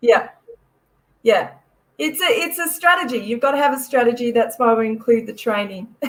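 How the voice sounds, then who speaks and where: A woman with an Australian accent speaks at a high pitch in an animated tone with lively intonation. She leaves long, frequent pauses. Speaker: expo organiser. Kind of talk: casual chat. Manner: fast.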